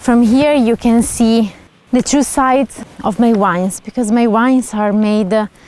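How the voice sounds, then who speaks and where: Against noticeable background noise, a woman with a fairly high pitch speaks at a fairly slow pace and with fairly even intonation. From Italy, Emilia-Romagna. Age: 30s. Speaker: wine producer. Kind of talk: documentary interview. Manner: hesitant, with fillers.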